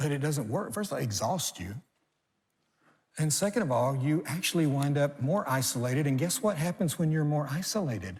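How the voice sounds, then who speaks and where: Somewhat breathy and animated, a man speaks at a fairly quick pace with lively intonation. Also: fairly high pitch for a man. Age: 60s. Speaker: pastor. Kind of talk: sermon.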